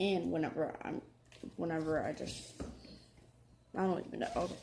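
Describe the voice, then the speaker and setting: A soft-spoken woman at a moderate pace, with audible room echo. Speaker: gaming youtuber. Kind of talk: gameplay commentary. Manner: halting.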